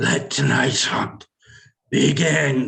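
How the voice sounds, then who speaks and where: A man puts on a character voice that is raspy. His pitch sits at a medium level. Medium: audio drama. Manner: grandiose, proclamatory.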